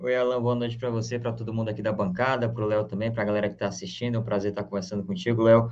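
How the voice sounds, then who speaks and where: A man's medium-pitched voice at a very fast pace, hardly any pauses, and fairly even intonation. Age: young. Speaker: panelist. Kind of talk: interview questions.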